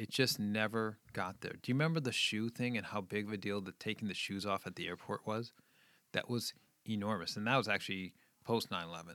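Recorded very cleanly against a silent background, a man speaks at a fairly quick pace. His pitch sits fairly low and varies in an ordinary way. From New England, outside Boston. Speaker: children's ministry leader and parent. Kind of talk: casual chat.

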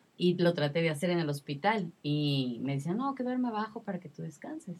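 A woman's fairly low, somewhat breathy voice, with lively intonation and a fairly quick pace. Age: 30s. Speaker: mother sharing postpartum experience. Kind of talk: testimony.

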